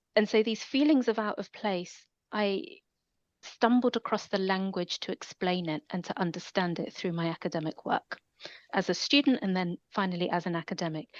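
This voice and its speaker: At a moderate pace, a woman with a London accent talks with lively intonation against a quiet background. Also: medium pitch for a woman. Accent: London accent, noted by self. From London, England. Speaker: academic. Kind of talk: interview.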